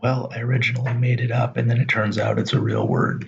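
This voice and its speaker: A man's voice comes through quietly. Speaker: stock market video creator. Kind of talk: casual live stream tutorial. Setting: late night live stream. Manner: speaking quietly.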